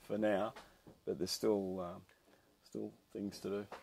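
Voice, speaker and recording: A man with an Australian accent speaks at a fairly low pitch. His delivery is monotone and flat. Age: 60s. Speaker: commercial fisherman. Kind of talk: interview. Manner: halting, many fillers.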